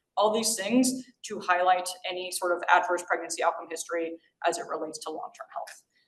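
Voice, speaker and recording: The speaker, with an American accent, shows ordinary pitch variation against audible room echo. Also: woman. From New York. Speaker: physician giving grand rounds lecture. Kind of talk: lecture. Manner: fast.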